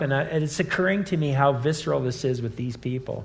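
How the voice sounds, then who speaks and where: The speaker moves at a fairly quick pace with ordinary pitch variation. It is a plain, everyday voice. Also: man. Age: 60s. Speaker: campus minister and teacher. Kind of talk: live conversation. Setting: live event with in-person and online audience.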